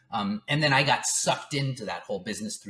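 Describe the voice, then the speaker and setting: Here a man is talking. His pace is very fast. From France. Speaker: music entrepreneur. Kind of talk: interview. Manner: fast, with many repetitions and restarts.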